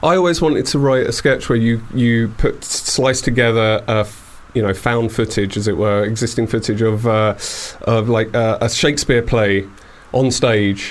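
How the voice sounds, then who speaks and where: Against noticeable background noise, a man at medium pitch talks at a moderate pace, his loudness very even and his pitch variation ordinary. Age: 40s. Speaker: radio show host. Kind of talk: casual chat. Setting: studio.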